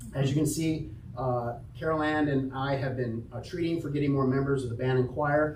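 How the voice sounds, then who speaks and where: There is audible room echo as a man speaks at a fairly quick pace. His pitch is fairly high, his intonation monotone and flat. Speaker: church announcements leader. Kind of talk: church announcements. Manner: loud; casual. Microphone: microphone having issues.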